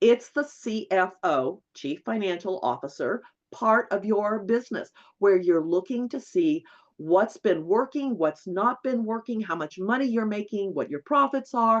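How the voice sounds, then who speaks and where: At a fairly slow pace, a woman speaks at a fairly high pitch with very wide swings. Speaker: bookkeeping instructor. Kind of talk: webinar lecture. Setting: online webinar.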